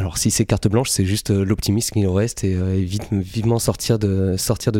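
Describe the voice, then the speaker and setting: A man's dark, mellow tone at fairly low pitch, with fairly even intonation and a moderate pace. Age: 20s. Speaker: photographer. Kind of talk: casual interview.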